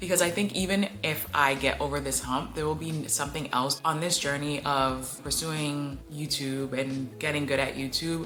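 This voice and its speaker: With hardly any pauses, a woman speaks in a very deep, low pitch with ordinary pitch variation, over noticeable background noise and audible room echo. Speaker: small YouTuber vlogger. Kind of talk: casual vlog to camera. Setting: recording alone on camera. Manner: fast; rambling with filler words.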